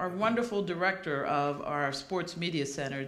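A woman with a fairly low pitch speaks amid audible room echo. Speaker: event moderator welcoming audience. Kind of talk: welcome speech. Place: hall. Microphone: podium.

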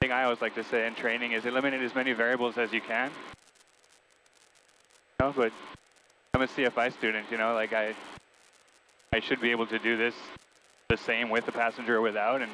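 Over light background noise, a man speaks at a very fast pace in a monotone, flat intonation, with a dry sound and no echo. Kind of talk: casual vlog chat. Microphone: headset.

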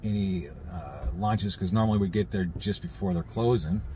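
A man speaks in a fairly low, somewhat breathy voice. The sound is dry with no echo, with light background noise. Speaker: RV travel vlogger. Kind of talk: casual vlog chat. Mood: calm, mildly concerned. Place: car. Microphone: phone near.

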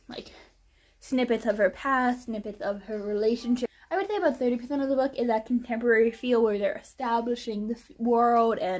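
This woman has a high pitch with ordinary variation. She talks at a moderate pace. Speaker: book reviewer. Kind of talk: casual vlog chat. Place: home room. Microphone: camera far.

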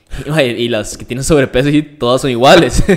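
In a Costa Rican accent, a man speaks at a moderate pace with a fairly high pitch and ordinary pitch variation, on a very clean recording with a silent background. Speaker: fitness and nutrition influencer. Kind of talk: casual interview.

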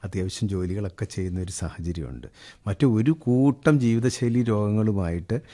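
Against a quiet background, a man speaks with a fairly low pitch, a dark, mellow tone and lively intonation. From Kerala, Idukki district (Adimali). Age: 50s. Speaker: organic farmer and businessman. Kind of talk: interview.

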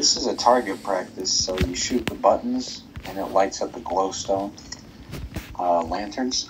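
A man's fairly low voice at a fairly slow pace, with ordinary pitch variation over noticeable background noise. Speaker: Minecraft world builder showing his theme park. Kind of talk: casual gaming tour chat, with a mock carnival barker pitch around 6:52. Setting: recorded gameplay voiceover. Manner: animated, sing-song barker patter with repeated 'step right up' calls; playful, joking.

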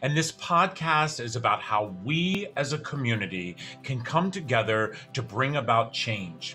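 At a moderate pace and medium pitch, a man speaks with lively intonation while faint music plays in the background. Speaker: podcast host, foster care advocate. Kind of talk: podcast intro. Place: office. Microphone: webcam.

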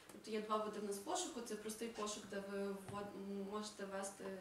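A woman's flat, monotone delivery amid light background noise and audible room echo. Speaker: project coordinator. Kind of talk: project presentation. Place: hall.

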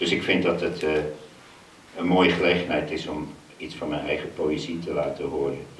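In a room with audible echo and light background noise, a man speaks at a moderate pace in a monotone, flat intonation. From Zaanstreek, North Holland; North Holland. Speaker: poet performer. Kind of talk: poetry reading and talk. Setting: stage with audience. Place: stage.

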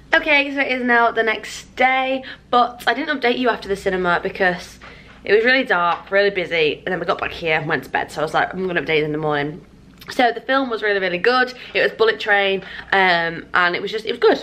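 Lively intonation marks a woman talking at a very fast pace. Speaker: vlogger. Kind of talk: casual vlog chat. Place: home room. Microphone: phone near.

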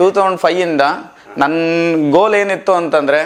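The man's voice sits at a high pitch and shows ordinary pitch variation. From India, Karnataka, Dharwad district (Hubli). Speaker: homeowner, factory operator. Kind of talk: home tour.

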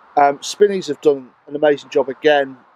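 This is a man's voice. The sound is dry, with no echo. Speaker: motorhome vlogger. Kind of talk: casual vlog chat. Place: home room. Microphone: phone near.

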